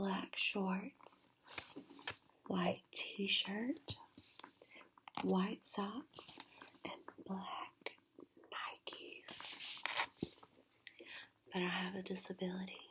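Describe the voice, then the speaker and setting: Whispering from a woman, very slow, broken by long, frequent pauses. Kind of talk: whispered novel reading. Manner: whispered, soft-spoken.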